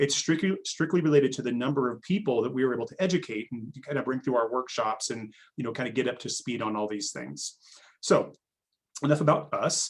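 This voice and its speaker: A man's medium-pitched voice at a fairly quick pace, with ordinary pitch variation and big swings in loudness. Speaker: digital marketing agency founder. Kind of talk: webinar presentation. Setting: video call. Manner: fast.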